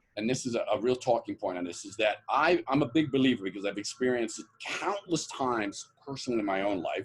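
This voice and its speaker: A man with a New York accent talks at a very fast pace, his medium pitch carried by lively intonation. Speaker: author and motivational coach. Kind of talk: podcast interview.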